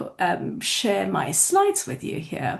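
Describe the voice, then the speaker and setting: A woman with medium pitch and vocal fry speaks at a fairly slow pace. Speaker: college faculty administrator. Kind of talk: presentation. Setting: video call. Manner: serious.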